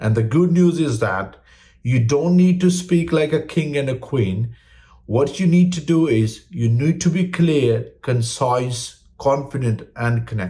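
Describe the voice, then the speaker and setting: A man with a non-native accent talks at a fairly slow pace in a fairly high, somewhat breathy voice. His tone is dark and mellow, and his intonation is lively. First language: not English. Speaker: English learning YouTuber. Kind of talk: tutorial.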